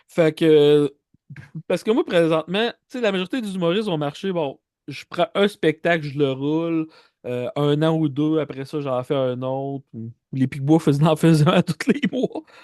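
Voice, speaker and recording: Someone with a Quebec accent speaks at a fairly slow pace with ordinary pitch variation. The sound is dry and close with no echo, against a quiet background. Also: man, fairly high pitch for a man. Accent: Québécois French. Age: 40s. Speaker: comedian. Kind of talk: casual interview chat.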